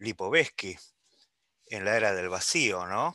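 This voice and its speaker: A man speaks in a bright, sharp tone. The sound is dry and close, without echo. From Uruguay. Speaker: doctor and epistemology professor. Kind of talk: seminar discussion.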